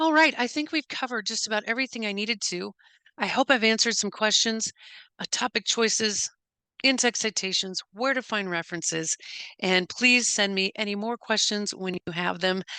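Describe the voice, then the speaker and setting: A woman talks at a fairly quick pace with a fairly high pitch and ordinary pitch variation. The sound is dry and close, with no echo. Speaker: university instructor. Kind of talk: lecture. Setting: screen-share recording. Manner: fast; halting.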